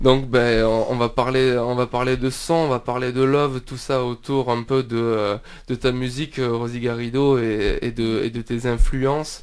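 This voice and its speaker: At a fairly slow pace, a man speaks in a monotone, flat intonation at a medium pitch. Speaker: radio host. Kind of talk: radio interview. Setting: radio studio. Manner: hesitant, many fillers.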